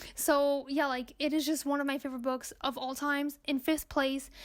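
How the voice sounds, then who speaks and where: Speaking at a moderate pace, a woman with a non-native accent has a high pitch. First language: not English. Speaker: booktuber. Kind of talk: casual book review monologue. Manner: animated.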